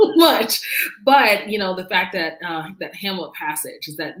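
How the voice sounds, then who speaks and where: Fairly quickly and with an American accent, a woman speaks as background noise is noticeable. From US South, Durham, North Carolina. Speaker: discussion moderator. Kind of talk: interview Q&A.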